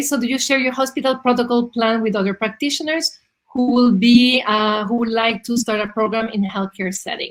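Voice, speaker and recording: A woman with a non-native accent talks at a moderate pace. Her voice is high-pitched, with ordinary pitch variation. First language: not English. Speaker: interview series host. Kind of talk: video interview.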